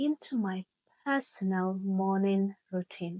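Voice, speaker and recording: Very slowly, a woman speaks in a warm, somewhat breathy tone, the sound dry and close with no echo. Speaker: English teacher. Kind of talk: slow English podcast lesson narration. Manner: slow, clear; warm, friendly.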